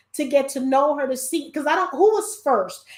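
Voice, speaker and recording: In a New York accent, a woman speaks in a high voice with ordinary pitch variation. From New York (Brooklyn). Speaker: podcast host. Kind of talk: casual chat.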